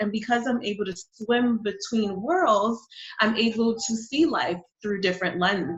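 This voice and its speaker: Fairly high in pitch, a woman with a New York accent talks at a moderate pace with ordinary pitch variation. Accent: New York American English. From New York City, born in Honduras. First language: Spanish. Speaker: digital marketing coach and business founder. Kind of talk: interview conversation.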